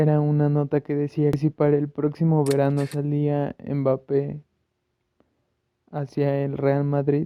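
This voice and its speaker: A man at fairly high pitch, fairly slow in pace, with monotone, flat intonation. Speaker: football YouTuber. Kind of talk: casual vlog commentary.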